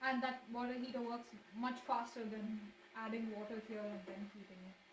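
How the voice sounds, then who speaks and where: Over noticeable background noise and audible room echo, a woman speaks at a moderate pace in a high pitch with ordinary pitch variation. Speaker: streamer. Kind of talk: casual livestream cooking chat. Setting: home kitchen livestream. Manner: halting, repeats words. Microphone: laptop mic, poor audio.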